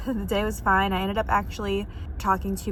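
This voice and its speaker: A woman speaks, and room echo can be heard around her words. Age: 20s. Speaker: lifestyle vlogger. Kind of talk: casual vlog narration. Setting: in a car. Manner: whispering.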